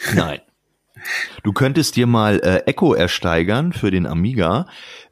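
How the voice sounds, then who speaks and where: A man speaks at a moderate pace at a medium pitch. The recording is very clean, with a silent background. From Lower Saxony, Germany. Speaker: former games magazine editor. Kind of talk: casual chat. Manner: relaxed.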